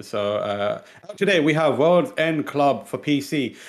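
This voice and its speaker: With an East London accent, a man speaks at a fairly high pitch. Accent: East London British English. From born in Pakistan, raised in England. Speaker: video game news show host. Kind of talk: casual chat. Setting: studio.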